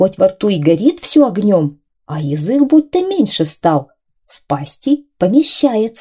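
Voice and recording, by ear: Someone is reading aloud in a natural voice. Nothing much sounds behind them.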